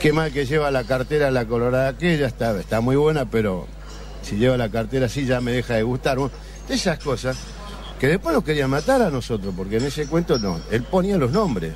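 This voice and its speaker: At a fairly quick pace, this man talks while noticeable background noise is heard. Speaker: café regular. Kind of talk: casual chat. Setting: café.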